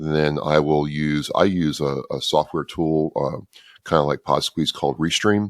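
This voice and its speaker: A man with a very deep, low pitch speaks at a moderate pace, in a dry, close sound with no echo. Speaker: podcaster for veterans. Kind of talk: interview.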